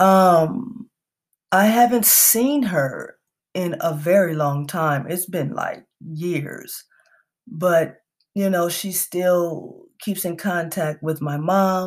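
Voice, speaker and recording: The speech is very slow, in a very clean recording with a silent background. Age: 30s. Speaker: podcast host and associate marriage and family therapist. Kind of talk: casual monologue. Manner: halting, many fillers.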